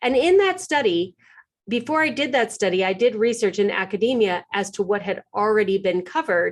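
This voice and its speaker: Against a quiet background, a woman speaks at a fairly quick pace and a fairly high pitch. Her tone is animated and her intonation lively. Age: 50s. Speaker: organizing expert, podcaster. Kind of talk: webinar presentation.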